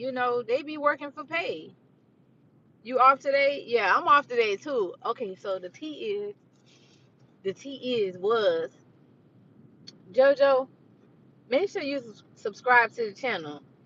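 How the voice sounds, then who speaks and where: With a bright, sharp tone and a high pitch, a woman speaks at a fairly slow pace with long, frequent pauses, very wide pitch swings and big swings in loudness. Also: dry, close sound with no echo. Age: 30s. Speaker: vlogger. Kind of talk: casual chat. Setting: live stream. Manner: animated.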